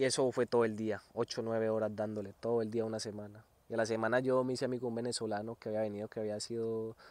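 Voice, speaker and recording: Against a quiet background, a man at medium pitch talks at a very fast pace with hardly any pauses and monotone, flat intonation. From Colombia, Antioquia (Medellín area). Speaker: Colombian immigrant farm worker. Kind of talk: interview storytelling. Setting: outdoors in the sun.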